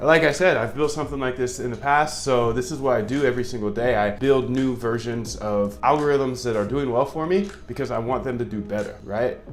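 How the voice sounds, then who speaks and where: With hardly any pauses, a man at medium pitch talks at a fairly quick pace with ordinary pitch variation over noticeable background noise. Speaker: algorithmic trading educator. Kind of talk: coding tutorial. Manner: casual, conversational.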